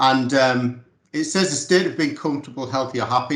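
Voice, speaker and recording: With a strong Teesside accent, a man speaks at a moderate pace in a medium pitch with ordinary pitch variation. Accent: strong Teesside northern English. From North East England, Middlesbrough. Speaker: community sports organisation manager. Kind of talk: casual interview chat.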